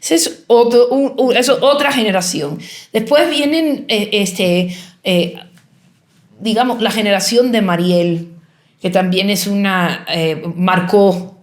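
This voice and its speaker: Amid audible room echo, a woman with a medium pitch speaks very slowly, her intonation lively. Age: 60s. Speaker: artist and writer. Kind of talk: interview. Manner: halting, many false starts and fillers.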